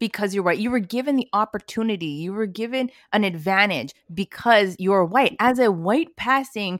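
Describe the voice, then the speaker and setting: A woman's ordinary speaking voice in a Canadian accent, medium in pitch, with lively intonation and a moderate pace, on a very clean recording with a silent background and a dry, close sound free of echo. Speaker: podcast co-host. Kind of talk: casual discussion.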